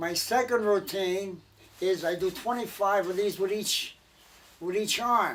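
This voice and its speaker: Speaking at a fairly slow pace, a man uses a high pitch and an American accent. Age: 80s+. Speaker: war veteran. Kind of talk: casual storytelling.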